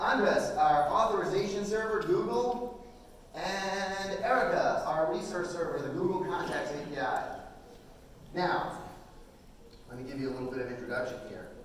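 Strong room echo surrounds a man speaking at a moderate pace with lively intonation over light background noise. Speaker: conference presenter. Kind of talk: live presentation, directing volunteers. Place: hall.

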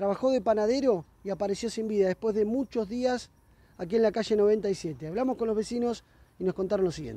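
At a fairly quick pace, a man speaks with a high pitch for a man and a dark, mellow tone, using ordinary pitch variation in a dry sound with no echo. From Argentina. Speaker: field reporter. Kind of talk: on-location news report. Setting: outdoors on the street. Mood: serious, somber news tone. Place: street. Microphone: handheld.

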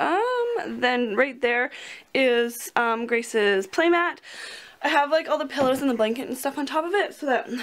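At a moderate pace, a woman speaks in a high-pitched voice. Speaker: vlogger. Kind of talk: casual vlog chat. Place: home room. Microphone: phone near.

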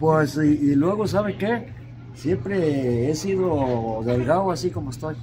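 Noticeable background noise runs behind a man speaking very slowly. His pitch is fairly high and his intonation lively. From Morelia, Michoacán, Mexico; Michoacán, Mexico. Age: 80s+. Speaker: furniture vendor. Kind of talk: interview answer. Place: street. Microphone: camera far.

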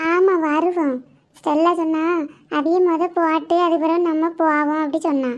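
In a cartoonish character voice, a woman speaks at an extremely high pitch and a fairly slow pace, with monotone, flat intonation and very even loudness. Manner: soft, shy.

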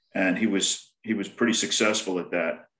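A man speaks at a moderate pace. The background is quiet, though room echo is audible. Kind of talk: panel self-introduction. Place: home room. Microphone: video call.

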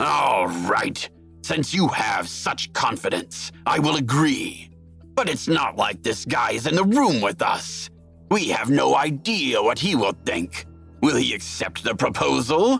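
A man puts on a character voice at medium pitch and a fairly slow pace, with clear music in the background. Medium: audio drama. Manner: pompous, booming, condescending.

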